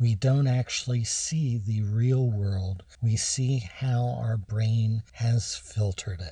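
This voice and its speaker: Speaking very slowly with hardly any pauses, a man with an American accent has a somewhat breathy, dark, mellow tone at medium pitch and fairly even intonation. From Maryland (Havre de Grace). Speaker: radio host and addiction doctor. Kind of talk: radio talk show monologue. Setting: radio studio.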